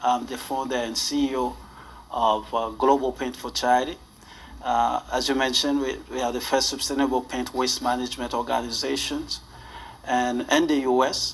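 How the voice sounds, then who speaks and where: A man with a Haitian accent at a moderate pace, over noticeable background noise. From northern Haiti. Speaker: charity founder and CEO. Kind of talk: interview. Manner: halting, with many fillers.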